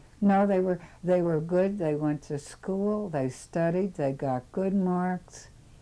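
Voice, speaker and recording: A woman with an American accent at a very slow pace with hardly any pauses, medium pitch with ordinary variation, dark, mellow tone. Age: 80s+. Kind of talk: interview answer. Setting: home recording, 1988. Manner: rambling.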